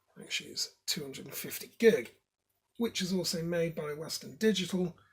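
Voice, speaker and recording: Here a man speaks with a British accent. His voice is high in pitch. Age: 30s. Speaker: tech hobbyist video maker. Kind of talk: tutorial. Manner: casual, with hesitations.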